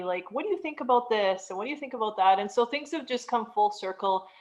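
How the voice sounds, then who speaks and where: Fairly high-pitched, an unremarkable speaking voice from a woman, its pitch varying in an ordinary way. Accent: Canadian. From Canada. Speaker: realtor and money coach. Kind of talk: interview.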